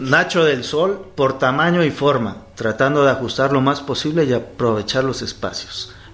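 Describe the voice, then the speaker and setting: Over noticeable background noise, a man with a Mexican accent and a fairly high pitch speaks at a moderate pace with ordinary pitch variation and hardly any pauses. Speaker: board game accessory maker. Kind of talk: casual chat.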